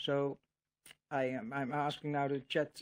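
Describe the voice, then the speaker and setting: A man speaks with a Dutch accent. He goes at a very slow pace. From Netherlands. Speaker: religious video creator. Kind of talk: casual monologue to camera. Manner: halting, many fillers and repetitions.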